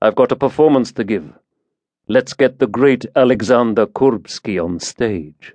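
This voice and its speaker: Recorded dry and close with no echo, a normal speaking voice moves at a fairly slow pace with ordinary pitch variation. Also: man, medium pitch for a man. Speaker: audiobook narrator. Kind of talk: dramatic thriller narration, scripted audiobook reading with character voices. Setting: studio. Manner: tense, hushed menace in the murder scene, cold and matter-of-fact; steady, clipped pace, with sardonic dialogue lines and shifts between characters.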